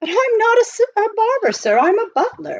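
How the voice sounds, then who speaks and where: A squeaky put-on character voice with lively intonation at a moderate pace. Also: woman. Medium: read story. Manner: formal, polite.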